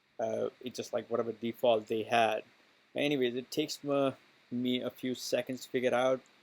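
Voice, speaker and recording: A man at medium pitch, with fairly even intonation and a moderate pace. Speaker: cloud computing instructor. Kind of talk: tutorial. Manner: casual, hesitant with many fillers.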